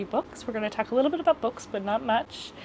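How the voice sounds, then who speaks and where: Mumbling at a very fast pace, a woman speaks with a fairly high pitch and ordinary pitch variation. Noticeable background noise runs underneath. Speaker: lifestyle youtuber. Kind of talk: casual chat. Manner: mumbly.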